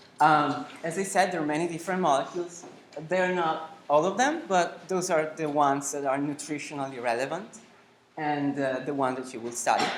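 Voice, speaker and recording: This voice carries an Italian accent. Its tempo is moderate. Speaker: nutrition lecturer. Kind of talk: lecture. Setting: lecture hall, no microphone. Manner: loud, projecting to large room. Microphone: no microphone, speaking unamplified.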